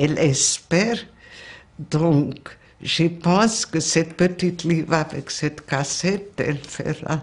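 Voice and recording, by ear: A woman speaks slowly with a Hungarian accent. Her pitch is low, with ordinary variation.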